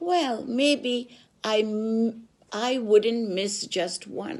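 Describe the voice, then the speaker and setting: This is a put-on character voice. It speaks at a very slow pace. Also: woman, fairly high pitch for a woman. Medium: read story.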